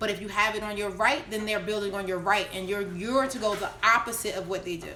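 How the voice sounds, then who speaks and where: Audible room echo and noticeable background noise fill the recording. A woman speaks very fast at medium pitch with fairly even intonation. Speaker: network marketing coach. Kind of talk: live stream Q&A tutorial.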